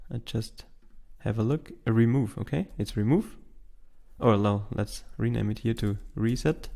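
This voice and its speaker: The voice has a dark, mellow tone and a non-native accent. The pace is fairly slow. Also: man, medium pitch for a man, ordinary pitch variation. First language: not English. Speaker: tech tutorial host. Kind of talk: tutorial. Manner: halting, with fillers.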